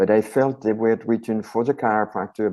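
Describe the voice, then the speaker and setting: This voice has a dark, mellow tone and a French accent. It moves at a moderate pace with ordinary pitch variation over a quiet background. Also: man. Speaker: chiropractor and author. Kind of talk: interview conversation.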